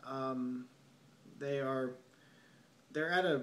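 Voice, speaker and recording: Speaking at a very slow pace, a man uses a medium pitch. Audible room echo surrounds his voice. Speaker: film reviewer. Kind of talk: solo video review monologue. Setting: at home late at night. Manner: softer than usual; halting, many fillers.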